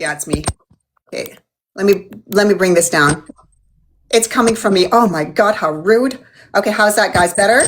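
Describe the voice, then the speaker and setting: A woman at medium pitch speaks at a moderate pace with an animated tone and ordinary pitch variation, leaving long, frequent pauses. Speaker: beauty channel host. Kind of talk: livestream interview chat. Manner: loud.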